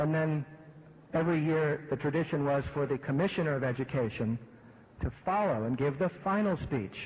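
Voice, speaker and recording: A man's somewhat breathy voice with an American accent, at a fairly quick pace. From Pittsburgh, Pennsylvania. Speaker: event host introducing speaker. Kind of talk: anecdote introduction.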